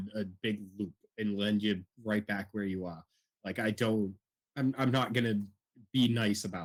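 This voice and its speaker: A man with a Boston accent speaks in a fairly low pitch at a moderate pace with fairly even intonation, long, frequent pauses and big swings in loudness, the sound dry and close with no echo. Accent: Boston accent, unsuppressed. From Boston, Massachusetts. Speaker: military veteran, streamer and teaching student. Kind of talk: storytelling in casual chat. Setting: live stream with remote guest.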